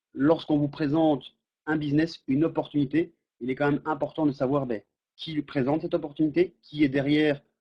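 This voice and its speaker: A man with a normal speaking voice talks at a fairly quick pace. His pitch is fairly high. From French-speaking Belgium. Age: 30s. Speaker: network marketing presenter. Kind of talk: sales pitch. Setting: webinar.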